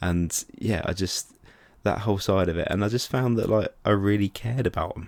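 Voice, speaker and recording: Heard on a very clean recording with a silent background, a man speaks with an English accent. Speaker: film reviewer. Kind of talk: casual video review. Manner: fast; animated.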